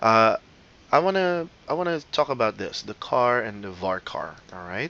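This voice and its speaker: Over a quiet background, a man with a non-native accent speaks at a moderate pace in a bright, sharp tone, with very wide pitch swings and big swings in loudness. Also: medium pitch for a man. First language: not English. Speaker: teacher. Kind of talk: lecture. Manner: casual, many fillers.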